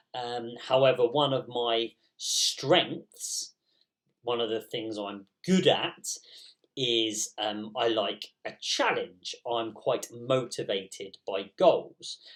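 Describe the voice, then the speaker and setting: The speaker goes at a very slow pace in an English accent. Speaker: primary school teacher. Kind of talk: recorded school assembly. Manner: hesitant with many ums.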